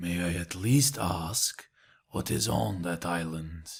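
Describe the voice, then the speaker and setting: A man's put-on character voice, raspy and very deep, delivered at a fairly slow pace. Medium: audio drama. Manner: cold, bitter.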